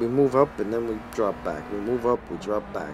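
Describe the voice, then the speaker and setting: Speaking in a New York accent, a man has a fairly low voice with ordinary pitch variation. Noticeable background noise is present. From Brooklyn, New York. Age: old. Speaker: video game streamer. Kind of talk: live gameplay commentary. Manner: animated.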